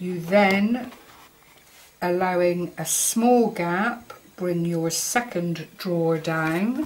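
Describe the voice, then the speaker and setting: A woman with a fairly low pitch and ordinary pitch variation talks at a very slow pace over noticeable background noise. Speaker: craft tutorial maker. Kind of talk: tutorial. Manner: halting, fumbling.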